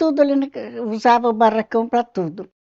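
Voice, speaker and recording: Heard with a dry, close sound and no echo, a woman speaks in a dark, mellow tone. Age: 80s+. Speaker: longtime resident. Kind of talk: oral history interview.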